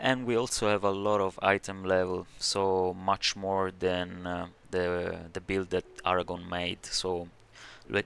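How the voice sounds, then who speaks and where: With a non-native accent, a man talks at a fairly slow pace in a very deep, low, monotone voice with flat intonation, on a very clean recording with a silent background. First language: not English. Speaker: video game tutorial creator. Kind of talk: game build tutorial. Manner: halting, many fillers.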